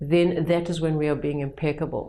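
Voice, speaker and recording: A woman speaks with a strong South African accent and a dark, mellow tone. Audible room echo surrounds her voice. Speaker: educator running personal development retreats. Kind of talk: vlog talk to camera. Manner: conversational with hesitations and restarts.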